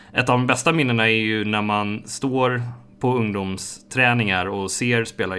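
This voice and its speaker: A man's fairly low, bright, sharp voice with fairly even intonation at a moderate pace, on a very clean recording with a silent background. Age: 20s. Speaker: esports player and project manager at a football club. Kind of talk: casual interview monologue.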